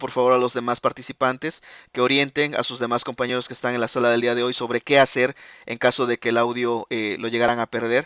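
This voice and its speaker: Speaking at a fairly quick pace, a man comes through in a dry sound with no echo over a quiet background. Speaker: accounting software trainer. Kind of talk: live webinar presentation. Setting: online webinar with live chat. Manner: fast; filler-heavy, frequent eh and ok. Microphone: video call.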